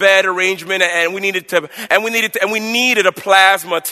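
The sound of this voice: This is an unforced reading voice. The words are simply read aloud.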